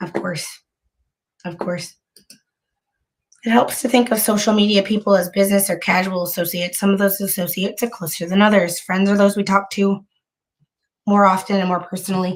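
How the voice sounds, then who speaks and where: Somewhat breathy, a woman speaks at a medium pitch and a fairly quick pace with monotone, flat intonation. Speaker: online commentator. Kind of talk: casual livestream talk.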